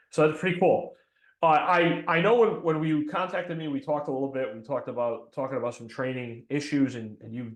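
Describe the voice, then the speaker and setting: Speaking at a fairly quick pace, a man with a New England accent uses ordinary pitch variation. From New England, between Boston and New York. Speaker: fire chief and podcast host. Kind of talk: casual podcast chat. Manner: hesitant, many fillers.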